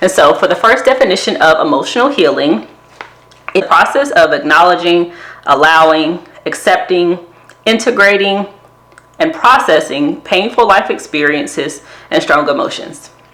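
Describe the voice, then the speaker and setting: With a Southern US accent, a woman speaks at a moderate pace in a fairly low pitch with very wide pitch swings, very even loudness and long, frequent pauses, over noticeable background noise. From US South. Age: 30s. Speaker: therapist and wellness vlogger. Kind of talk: casual vlog talk to camera.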